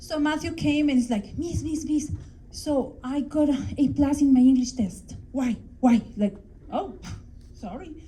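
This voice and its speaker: A woman's high yet dark, mellow voice with a Mexican accent, fairly slow with long, frequent pauses, in audible room echo. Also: ordinary pitch variation. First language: Spanish. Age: 40s. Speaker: English teacher. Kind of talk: conference talk. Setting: stage with audience.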